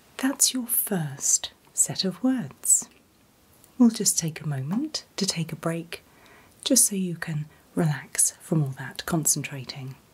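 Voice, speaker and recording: A woman at a very slow pace, fairly low pitch and very wide pitch swings, somewhat breathy. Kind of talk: role-play clinical instructions. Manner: soft ASMR whisper to listener. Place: home room.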